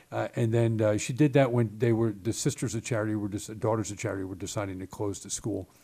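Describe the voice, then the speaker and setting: A man with an American accent talks at a very fast pace with hardly any pauses. His fairly low, somewhat breathy voice has a dark, mellow tone and fairly even intonation. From Baltimore, Maryland. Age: 60s. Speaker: state legislator, former Marine. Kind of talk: casual interview conversation. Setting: office.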